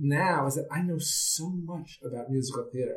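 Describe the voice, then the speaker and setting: A man with an American accent speaks in a fairly high voice, somewhat breathy, with ordinary pitch variation. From New York City. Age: 50s. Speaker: theater producer and playwright. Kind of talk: interview.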